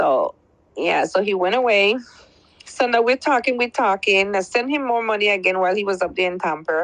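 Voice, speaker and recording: At a fairly quick pace, a woman with a Belizean accent talks at medium pitch with ordinary pitch variation. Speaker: caller. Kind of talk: testimony.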